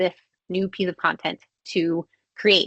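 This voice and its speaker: A woman's bright, sharp voice in a dry, close sound with no echo. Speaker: marketing agency CEO, webinar presenter. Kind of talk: webinar presentation. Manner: fast.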